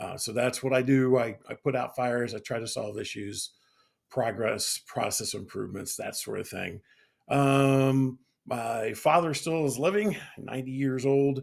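The speaker has a Midwestern US accent. The pace is fairly slow. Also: man, medium pitch for a man, ordinary pitch variation. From Butler County, Ohio. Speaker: podcast host. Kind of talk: casual chat.

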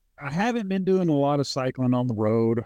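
In an Arkansas accent, a man speaks at a moderate pace with very wide pitch swings. The sound is dry and close with no echo, over a quiet background. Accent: Southern US (Arkansas). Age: 50s. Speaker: truck driver. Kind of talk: casual chat.

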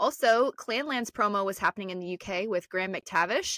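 A woman at a medium pitch with a Midwestern American accent, ordinary pitch variation and a fairly quick pace, in a dry, close sound with no echo on a very clean recording with a silent background. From Northeast Ohio. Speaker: podcast co-host. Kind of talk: casual chat.

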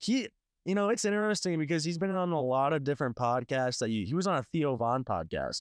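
With an American accent, this voice races at a very fast pace with very wide pitch swings and very even loudness, the sound dry and close with no echo against a quiet background. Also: man, fairly high pitch for a man. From US Midwest, St. Louis County, Missouri. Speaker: podcast co-host. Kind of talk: casual chat.

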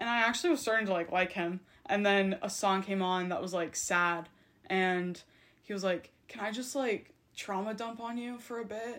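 A woman has a normal speaking voice at a medium pitch with ordinary pitch variation. She talks at a moderate pace in a very clean recording with a silent background. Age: 20s. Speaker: university student. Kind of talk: casual chat.

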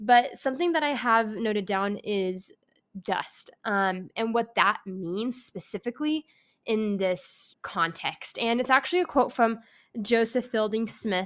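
A woman's normal speaking voice, fairly high in pitch with ordinary pitch variation, at a fairly slow pace on a very clean recording with a silent background. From California Bay Area. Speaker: podcast host. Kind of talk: casual religious discussion. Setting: apartment.

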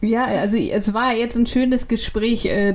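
A woman speaks in a fairly high voice with fairly even intonation over noticeable background noise. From northern Germany, Kiel. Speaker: podcast co-host. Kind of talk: casual chat.

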